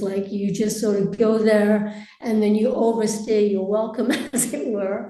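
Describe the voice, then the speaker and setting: A woman with an American accent, fairly high pitch and a moderate pace, with audible room echo and noticeable background noise. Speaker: expat interviewee. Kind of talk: interview.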